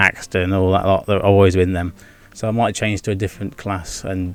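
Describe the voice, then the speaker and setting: In an English accent, a man speaks at a fairly quick pace with a fairly low pitch. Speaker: gaming and vlog YouTuber. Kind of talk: casual vlog monologue. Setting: home with video background. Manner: fast; stumbles over words.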